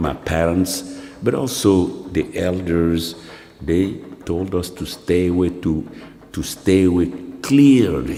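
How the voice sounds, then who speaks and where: Over noticeable background noise and audible room echo, a man speaks at a very slow pace in a very deep, low pitch, with ordinary pitch variation and long, frequent pauses. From Mali. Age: 70s. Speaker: professor and filmmaker. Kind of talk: film narration.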